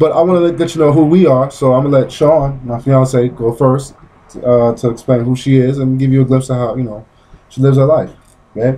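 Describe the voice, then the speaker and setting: A man's medium-pitched voice with an American accent, a dark, mellow tone, fairly even intonation and a fairly quick pace. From Brooklyn, New York. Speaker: vlogger. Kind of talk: casual chat. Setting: outdoors on a porch.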